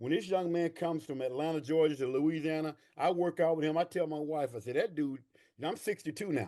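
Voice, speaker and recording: A man speaks very fast with a fairly high pitch, a dark, mellow tone and ordinary pitch variation. He has an American accent, and the background is quiet. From East Texas. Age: 60s. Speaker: army veteran and veterans coach. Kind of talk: podcast interview. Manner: animated.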